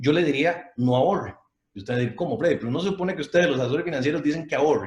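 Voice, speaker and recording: A somewhat breathy man races along at a very fast pace, his pitch fairly high and his pitch variation ordinary. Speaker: financial advisor. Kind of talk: online talk with audience Q&A. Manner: animated.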